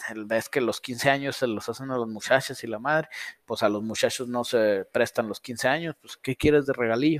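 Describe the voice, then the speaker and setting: In a very clean, dry, close recording with a silent background and no echo, a man speaks in an unremarkable speaking voice at a medium pitch, a moderate pace, and with fairly even intonation. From northern Mexico. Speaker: car tuning shop owner and livestream host. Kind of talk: casual livestream Q&A.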